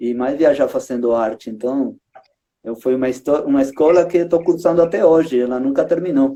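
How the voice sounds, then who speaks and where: With a Uruguayan accent, a man speaks at a fairly quick pace in a dark, mellow tone, his pitch fairly high and its variation ordinary. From Uruguay, Montevideo. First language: Spanish (speaking Portuguese). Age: 30s. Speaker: street circus artist, juggler. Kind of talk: casual chat. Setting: live stream.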